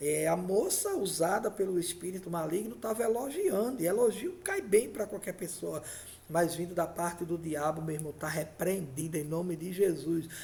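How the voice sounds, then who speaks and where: A man talks at a moderate pace with a high pitch and ordinary pitch variation. Room echo is audible, and there is noticeable background noise. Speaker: pastor. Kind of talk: sermon.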